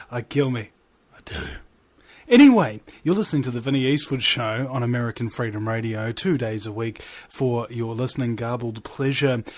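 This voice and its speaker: A man with a New Zealand accent, medium in pitch, amused in tone, at a moderate pace. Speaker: radio show host. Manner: jokey, self-amused.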